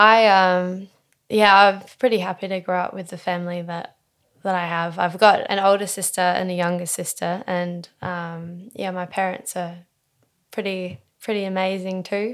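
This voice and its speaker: A woman speaks at a moderate pace and medium pitch, with monotone, flat intonation and big swings in loudness. The recording is very clean, with a silent background. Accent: Australian. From Tasmania, Australia (early years in Western Australia). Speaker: multidisciplinary artist and poet. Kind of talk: casual interview.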